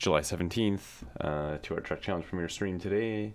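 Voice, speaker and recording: A soft-spoken man talks at a moderate pace. His pitch is very deep and low, with ordinary variation. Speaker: music streamer. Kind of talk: casual livestream talk. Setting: livestream. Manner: halting.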